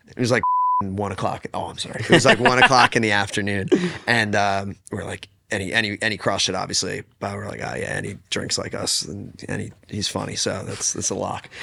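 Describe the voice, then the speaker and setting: A man with an American accent talks fairly quickly at a fairly low pitch, with ordinary pitch variation, big swings in loudness, and noticeable background noise. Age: 20s. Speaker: singer-songwriter. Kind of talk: casual interview chat. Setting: sitting on a futon, recorded session.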